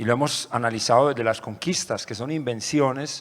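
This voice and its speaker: A man's lively intonation comes through as he talks at a moderate pace. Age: 50s. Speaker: musician and orchestra director. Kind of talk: panel talk.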